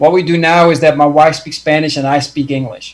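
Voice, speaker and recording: This man speaks with a Dutch accent in a fairly high voice, his intonation fairly even. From Netherlands. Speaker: success coach. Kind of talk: casual chat. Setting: video call.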